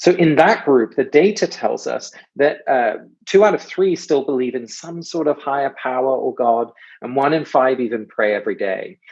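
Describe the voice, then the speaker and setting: A man with an English accent, fairly high-pitched, at a moderate pace with lively intonation. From England. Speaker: author and speaker on ritual. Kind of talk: guest talk. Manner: hesitant with many fillers.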